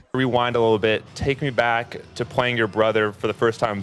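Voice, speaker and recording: Music plays behind a man speaking at a moderate pace. His medium-pitched voice has fairly even intonation. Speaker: sports broadcaster. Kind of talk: post-game interview question.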